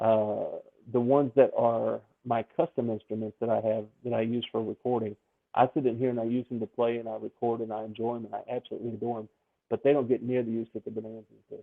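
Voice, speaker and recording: Talking very fast in a Memphis accent, a man keeps a medium pitch and a monotone, flat intonation. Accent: smooth Southern, Memphis. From US South, Memphis, Tennessee. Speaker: ukulele song leader. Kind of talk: podcast interview.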